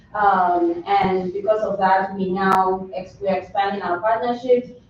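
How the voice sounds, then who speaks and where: A woman speaks with a Nigerian accent. Her intonation stays fairly even. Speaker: nutrition educator. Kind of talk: public presentation at board meeting. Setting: county board meeting.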